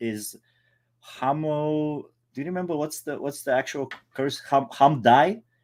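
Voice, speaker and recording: With a non-native accent, a man with a fairly high pitch talks at a fairly slow pace in a very clean recording with a silent background. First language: not English. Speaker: movie podcast co-host. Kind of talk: casual chat. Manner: halting.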